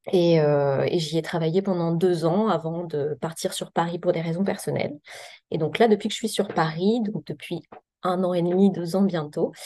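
Her voice has a dark, mellow tone, and this woman talks at a moderate pace with fairly even intonation and a fairly low pitch. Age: 30s. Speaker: psychiatrist. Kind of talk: podcast interview.

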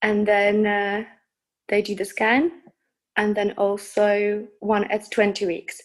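A woman talks at a very slow pace with long, frequent pauses. Her pitch is medium and her intonation fairly even. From Czech Republic. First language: Czech. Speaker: hypnobirthing teacher. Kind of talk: casual interview, personal birth story.

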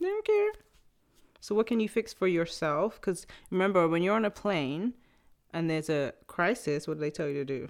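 An English-accented woman at a medium pitch, lively intonation, moderate pace, very clean recording with a silent background. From England. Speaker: actress and podcaster. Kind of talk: casual chat.

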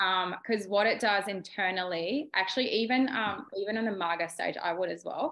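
Speaking in an Australian accent, a woman has a medium pitch and ordinary pitch variation. She talks at a moderate pace with hardly any pauses. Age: 30s. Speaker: beauty therapist. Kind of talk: casual chat.

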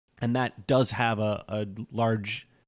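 With a normal speaking voice, a man talks at a fairly low pitch and fairly even intonation. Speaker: podcast co-host. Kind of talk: casual chat.

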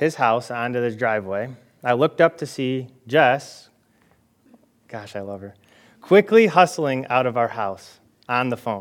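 A man talks at a moderate pace and medium pitch, his intonation lively. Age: 20s. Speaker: pastor. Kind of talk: sermon. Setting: church. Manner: casual, with many filler words.

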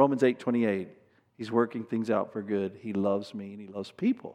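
The speaker has an unremarkable speaking voice. The pitch varies in an ordinary way. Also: man. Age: 50s. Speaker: pastor. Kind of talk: sermon.

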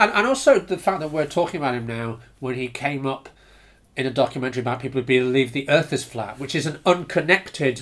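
In a British accent, a man with a fairly high pitch talks at a fairly quick pace with ordinary pitch variation. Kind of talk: casual chat.

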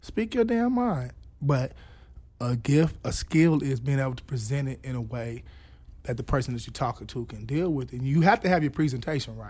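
On a very clean recording with a silent background, a man speaks with an American accent at a medium pitch. His voice is somewhat breathy, with ordinary pitch variation and big swings in loudness. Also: moderate pace. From US, urban neighborhood. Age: 30s. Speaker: comedian and youth worker. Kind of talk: casual chat.

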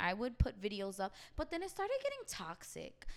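A woman is speaking. She has a New York accent. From New York, Queens. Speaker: hairstylist. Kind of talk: casual chat.

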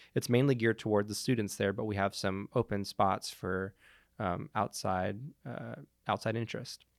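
A plain, everyday voice from a man, fairly low in pitch with ordinary pitch variation at a moderate pace, dry and close with no echo, on a very clean recording over a silent background. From Montreal, Canada. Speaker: Steadicam operator and cinematographer. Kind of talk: casual interview.

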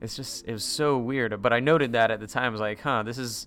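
This man has a plain, everyday voice with an American accent. He talks at a fairly quick pace with fairly even intonation. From North Carolina, US South. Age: 40s. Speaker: actor and comedian. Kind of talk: casual chat.

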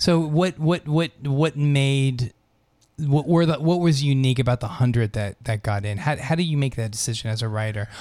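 Speaking at a moderate pace with ordinary pitch variation, a man has a plain, everyday voice that sits fairly high in pitch. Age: 50s. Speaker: radio host and HIV doctor. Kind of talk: casual interview; station announcement.

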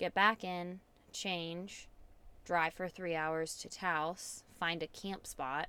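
A loud woman with a fairly low pitch and a bright, sharp tone speaks at a very slow pace in a monotone, flat intonation. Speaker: host's wife, guest. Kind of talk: casual chat. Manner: loud, spikes in volume.

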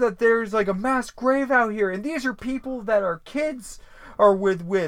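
A man with a New England accent and a high pitch speaks at a moderate pace. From Vermont. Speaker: podcast co-host. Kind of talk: casual podcast chat, episode recap.

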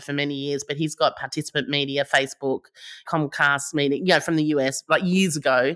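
Dry and close with no echo, on a very clean recording with a silent background, a woman with an Australian accent speaks at a fairly quick pace in a very deep, low pitch with a bright, sharp tone and monotone, flat intonation. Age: 50s. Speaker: startup founder. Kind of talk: interview.

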